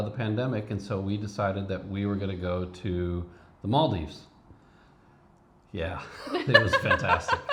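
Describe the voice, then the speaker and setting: A man's voice, pitched with ordinary variation and moving at a moderate speed, carries audible room echo. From Cleveland, Ohio, US. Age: 50s. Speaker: retired biotech professional, vlogger. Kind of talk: casual chat.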